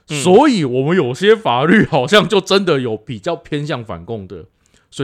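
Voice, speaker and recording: Against a quiet background, a man speaks at a moderate pace with vocal fry. His voice shows big swings in loudness and very wide pitch swings. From Taiwan, Pingtung (southern). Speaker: podcast co-host. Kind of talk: casual chat.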